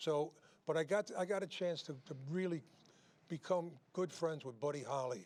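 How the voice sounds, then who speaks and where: Here a man speaks with a New York accent at a moderate pace. His pitch is fairly high for a man, with ordinary pitch variation. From New York City. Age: 80s+. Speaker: singer and show host. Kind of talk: casual chat. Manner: halting.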